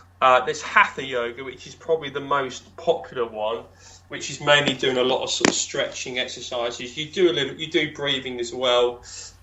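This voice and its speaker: A man at medium pitch with ordinary pitch variation, a fairly quick pace, big swings in loudness and noticeable background noise. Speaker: stroke survivor coach. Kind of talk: casual interview chat.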